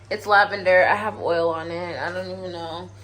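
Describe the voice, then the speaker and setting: Audible room echo surrounds a woman as she speaks at a moderate pace. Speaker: travel vlogger. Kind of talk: vlog. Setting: hotel.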